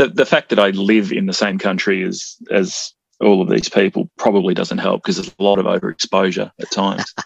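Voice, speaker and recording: A man speaking fairly quickly with hardly any pauses, in a dry, close sound with no echo. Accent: Australian. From Australia. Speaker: musician and jingle maker. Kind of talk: casual chat.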